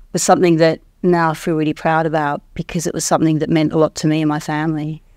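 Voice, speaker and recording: A woman with an Australian accent at a very fast pace, very deep and low in pitch, flat and monotone, in a very clean recording with a silent background. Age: 50s. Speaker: investing course client. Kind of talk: testimonial interview.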